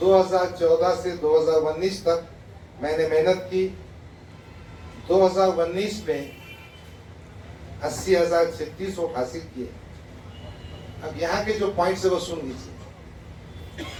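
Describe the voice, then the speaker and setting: Long, frequent pauses break up a man's speech, which has a high pitch and fairly even intonation. Room echo is audible, along with noticeable background noise. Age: 60s. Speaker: politician. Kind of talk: press statement reading a letter aloud. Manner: formal.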